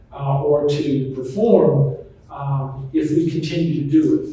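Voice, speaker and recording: A man with an American accent and a fairly high pitch, plus audible room echo and noticeable background noise. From US South, Charlotte, North Carolina. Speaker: physician and author. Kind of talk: talk to retirement community audience. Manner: conversational, informal.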